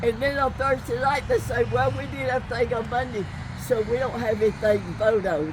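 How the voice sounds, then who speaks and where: A woman talks at a moderate tempo, with noticeable noise in the background. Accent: American. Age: 80s+. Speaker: citizen at public meeting. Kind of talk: public question at outdoor meeting. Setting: outdoors, parking lot.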